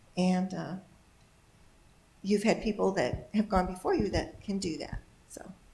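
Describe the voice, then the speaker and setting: Noticeable background noise surrounds a woman speaking at a moderate pace and medium pitch with fairly even intonation. Her loudness swings widely, and she leaves long, frequent pauses. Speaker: congregation elder sharing life wisdom. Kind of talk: testimony.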